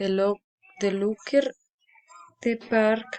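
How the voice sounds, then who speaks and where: A woman with a fairly high pitch speaks very slowly, her intonation fairly even. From Colombia, Tolima. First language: Spanish. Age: 20s. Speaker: student. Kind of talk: reading aloud. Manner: halting.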